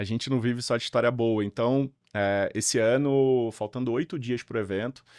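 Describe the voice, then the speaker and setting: This man talks at a fairly slow pace with a Rio de Janeiro accent. His medium-pitched voice sounds dry and close, with no echo. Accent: carioca (Rio de Janeiro). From Rio de Janeiro, Brazil. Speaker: event organizer. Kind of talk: podcast interview. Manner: halting, many fillers and restarts.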